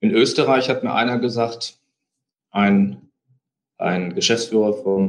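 With a fairly low pitch, a man speaks, varying it in an ordinary way. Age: 40s. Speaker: company founder and CEO. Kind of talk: interview.

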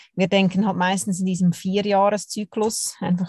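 A woman speaks at a medium pitch in a dark, mellow, somewhat breathy tone with flat, monotone intonation. The sound is dry and close, with no echo. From Switzerland, Zurich. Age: 30s. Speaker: professional curler. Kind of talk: interview.

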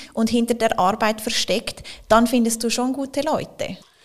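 A woman's fairly high pitch holds fairly even intonation amid noticeable background noise. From Switzerland, Zurich. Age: 30s. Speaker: company executive. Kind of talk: interview.

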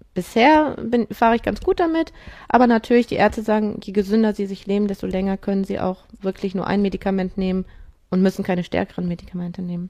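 The woman's voice has a dark, mellow tone. She talks at a very fast pace. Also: medium pitch for a woman, ordinary pitch variation. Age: 40s. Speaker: amateur triathlete with rheumatoid arthritis. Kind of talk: interview.

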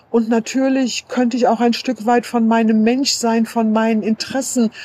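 Over noticeable background noise, a woman with a fairly high pitch speaks at a fairly slow pace. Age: 50s. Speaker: sex worker and association chair. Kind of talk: voice message statement.

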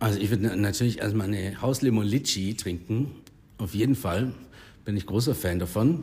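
A man speaks at a moderate pace with fairly low pitch and ordinary pitch variation. His tone is dark and mellow, and somewhat breathy. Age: 30s. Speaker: bar owner. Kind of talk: casual interview. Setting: in his bar.

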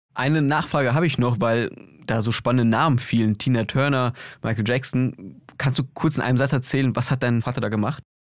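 Speaking in an ordinary speaking voice at a fairly quick pace, a man holds a medium pitch with fairly even intonation and very even loudness on a very clean recording with a silent background. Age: young. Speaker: podcast host. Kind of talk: casual interview.

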